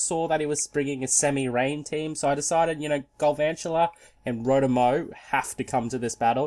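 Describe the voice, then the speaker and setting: On a very clean recording with a silent background, a man with an Australian accent and a fairly high pitch moves at a fairly quick pace with ordinary pitch variation. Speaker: gaming YouTuber. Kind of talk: gameplay commentary. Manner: casual, hesitant with repetitions.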